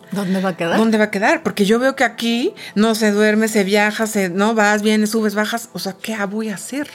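With music in the background, a woman speaks at a fairly high pitch and moderate pace with fairly even intonation. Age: 40s. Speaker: events executive. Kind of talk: interview.

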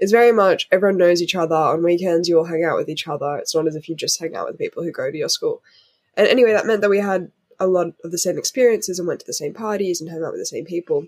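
The woman speaks at a very fast pace. She has an Australian accent. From Australia, Sydney eastern suburbs. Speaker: activist. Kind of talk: interview.

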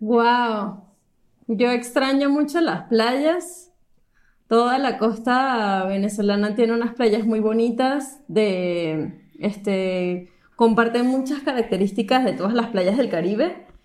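A woman speaks at a very slow pace and fairly high pitch with ordinary pitch variation. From Venezuela, Caracas. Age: 20s. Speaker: engineer. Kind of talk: casual chat. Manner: halting.

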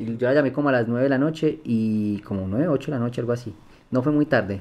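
A man speaks at a medium pitch in an ordinary speaking voice. His pitch variation is ordinary. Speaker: blind music producer. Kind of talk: interview conversation.

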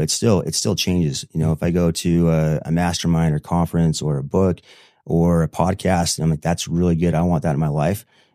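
A man's very deep, low voice with a Utah accent, dark and mellow, monotone and flat, at a very fast pace on a very clean recording with a silent background. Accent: American, Utah. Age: 40s. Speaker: real estate investor. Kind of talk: casual interview.

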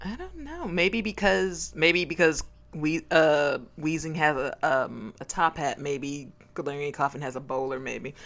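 Speaking at a fairly slow pace, a woman with a very deep, low pitch, vocal fry and ordinary pitch variation shows big swings in loudness. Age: 30s. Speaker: podcast guest, Pokemon fan. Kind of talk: casual chat.

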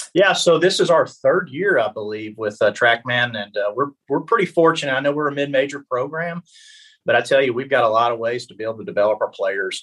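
A man with an ordinary speaking voice talks at a fairly high pitch and a fairly quick pace. His intonation is lively, with big swings in loudness. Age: 30s. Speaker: college baseball coach. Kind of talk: casual interview.

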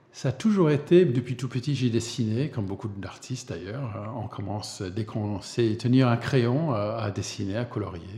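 Speaking with an English accent at a fairly slow pace, a man uses a medium-pitched, dark, mellow and somewhat breathy voice with ordinary pitch variation. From US, Vermont. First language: English (speaking French). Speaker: illustrator. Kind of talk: interview. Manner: hesitant, many repetitions.

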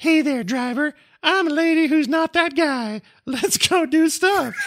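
Someone puts on a high-pitched character voice and talks at a fairly slow pace. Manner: upbeat, breezy.

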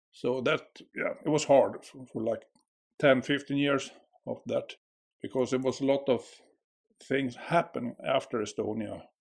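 Long, frequent pauses break up speech delivered with a Swedish accent. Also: man. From Sweden. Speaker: school worker. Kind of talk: casual chat. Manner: slow.

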